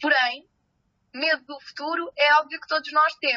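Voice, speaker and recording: A woman is speaking. Her pace is fairly slow. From Spain, Salamanca. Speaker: marketing agency founder. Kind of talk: podcast interview.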